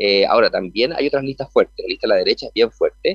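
A man with a Chilean accent speaks at a very fast pace. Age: 40s. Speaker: senate candidate. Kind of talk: radio interview. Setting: remote connection from an event venue. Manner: halting, many repetitions.

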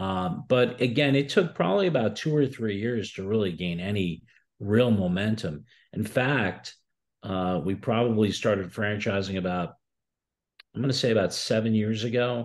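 A man with an American accent talks at a moderate pace, fairly low in pitch with ordinary pitch variation. It is an ordinary speaking voice, set against a quiet background. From Newark, New Jersey. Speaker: restaurant franchise founder. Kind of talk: interview.

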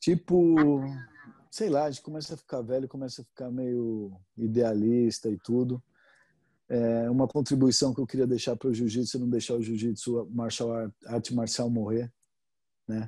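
There are long, frequent pauses as a man speaks at medium pitch in a dark, mellow tone. His intonation is fairly even, and the recording is very clean with a silent background. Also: moderate pace. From Brazil, São Paulo. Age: 50s. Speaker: jiu-jitsu instructor. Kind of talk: casual interview.

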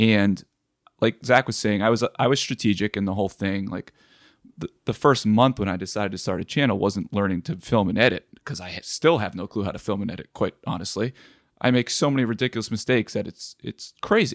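Recorded very cleanly against a silent background, with a dry, close sound and no echo, a man speaks fairly quickly in an ordinary speaking voice, his pitch fairly low with ordinary variation. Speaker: woodworker YouTuber. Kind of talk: casual chat.

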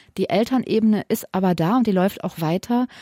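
A woman's medium-pitched voice with a dark, mellow tone at a moderate pace, dry and close with no echo, on a very clean recording with a silent background. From Hesse, Germany (Wiesbaden, Limburg). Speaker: family counselor. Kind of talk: radio advice talk.

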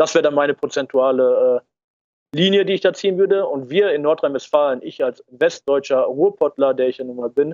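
The man has an unremarkable speaking voice, fairly high in pitch. He keeps a fairly even intonation at a moderate pace. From Ruhr area, western Germany. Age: 20s. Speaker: political activist. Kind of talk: interview.

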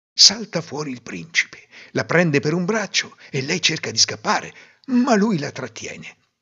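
With vocal fry, a man speaks in an animated tone at a fairly slow pace. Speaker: fairy tale narrator. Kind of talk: fairy tale storytelling, scripted narration. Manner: animated, expressive, voicing characters in dialogue.

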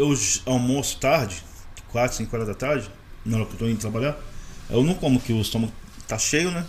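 A man talks at a fairly quick pace with long, frequent pauses and ordinary pitch variation, over noticeable background noise. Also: medium pitch for a man. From Rio de Janeiro state, Maricá. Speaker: hot dog vendor. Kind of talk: casual chat. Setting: studio.

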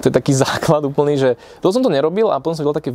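There is noticeable background noise. A man speaks over it at a very fast pace. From Slovakia, Piešťany. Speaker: entrepreneur. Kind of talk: casual interview.

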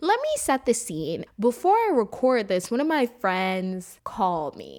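A woman speaks in an animated tone at a fairly slow pace. The recording is very clean, with a silent background. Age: 20s. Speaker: podcast host. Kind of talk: casual chat. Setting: recorded late at night.

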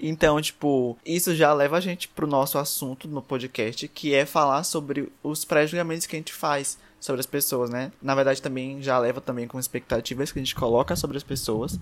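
A man with an ordinary speaking voice talks at a moderate pace in a fairly high pitch, his intonation fairly even, with hardly any pauses, on a very clean recording with a silent background. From Brazil, São Luís, Maranhão. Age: 20s. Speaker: podcast host. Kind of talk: casual chat.

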